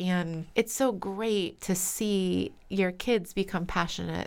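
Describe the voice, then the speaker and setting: A woman speaks with an American accent in a plain, everyday voice. Her pitch is medium and her intonation fairly even. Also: very clean recording, silent background. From US East Coast, Pennsylvania and New Jersey. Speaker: voice teacher and actress. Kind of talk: casual interview.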